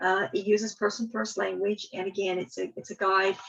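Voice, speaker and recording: A woman's fairly quick speech comes through with noticeable background noise behind it. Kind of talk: webinar presentation. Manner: fast.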